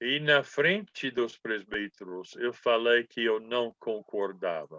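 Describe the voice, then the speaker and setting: This man talks at a very slow pace. His medium pitch moves with ordinary variation. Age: 80s+. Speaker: Bible school professor. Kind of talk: lecture.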